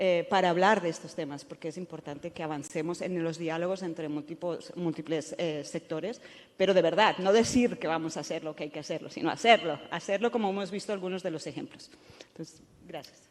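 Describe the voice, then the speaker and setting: Talking at a fairly quick pace, a woman with a Spanish accent uses a fairly low pitch. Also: ordinary pitch variation, big swings in loudness. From Spain. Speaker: professor. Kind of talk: panel discussion. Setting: stage with audience. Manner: halting, many fillers.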